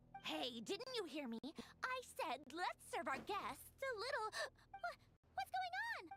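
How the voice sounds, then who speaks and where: This is a put-on character voice that sounds female, with an extremely high pitch. It moves at a fairly slow pace with very wide pitch swings. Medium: machinima. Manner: mocking, languid, condescending.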